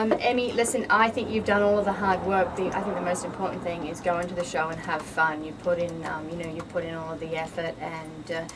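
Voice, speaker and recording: A woman in an Australian accent speaks very fast, with hardly any pauses. Audible room echo and noticeable background noise surround her voice. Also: ordinary pitch variation. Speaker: fitness model and bikini competitor. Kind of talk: radio interview. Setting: studio.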